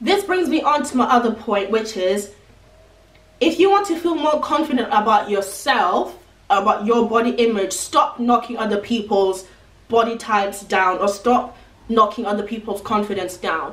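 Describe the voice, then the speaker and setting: A woman with a fairly high pitch and lively intonation speaks at a moderate pace. Room echo is audible and background noise noticeable. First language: not English. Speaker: beauty and lifestyle vlogger. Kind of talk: advice vlog. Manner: casual, chatty.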